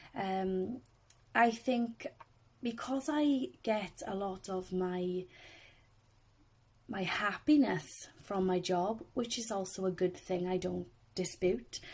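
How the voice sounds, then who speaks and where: A woman with a Welsh accent speaks at a medium pitch with ordinary pitch variation. Her pace is very slow, broken by long, frequent pauses. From South Wales. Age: 20s. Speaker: swimming instructor. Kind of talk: personal testimony.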